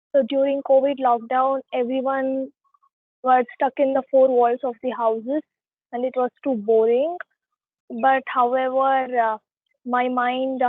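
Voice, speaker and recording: The speaker talks at a fairly slow pace in a Telugu accent, with monotone, flat intonation. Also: woman. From India, Karnataka. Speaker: poet. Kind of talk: interview. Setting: online call. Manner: hesitant, many fillers.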